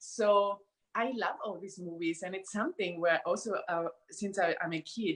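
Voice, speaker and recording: With a non-native accent, a woman speaks at a fairly slow pace and medium pitch, using ordinary pitch variation. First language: not English. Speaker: certified workshop facilitator. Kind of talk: live interview. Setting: live video stream.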